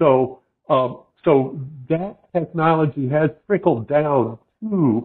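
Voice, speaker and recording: A man talks in an ordinary speaking voice, fairly high in pitch with ordinary pitch variation. The background is quiet. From US Midwest. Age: 60s. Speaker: fly fishing guide and shop owner; fly fishing guide. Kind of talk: casual interview. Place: home room. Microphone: video call.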